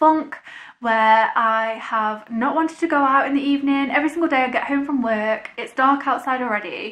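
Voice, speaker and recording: The speaker moves at a moderate pace with ordinary pitch variation against a quiet background. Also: woman, high pitch for a woman. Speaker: vlogger. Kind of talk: casual vlog chat. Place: home room. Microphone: camera far.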